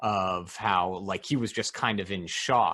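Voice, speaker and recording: A man with an ordinary speaking voice, ordinary pitch variation and a fairly slow pace. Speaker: podcast host and coach. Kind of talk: interview questions.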